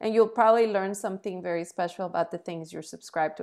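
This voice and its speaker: This woman speaks with a Spanish accent and fairly even intonation in a very clean recording with a silent background. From Colombia. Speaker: entrepreneur and TV commentator. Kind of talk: interview.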